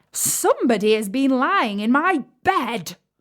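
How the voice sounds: Putting on a character voice, a woman talks slowly enough to count as fairly slow, her pitch high.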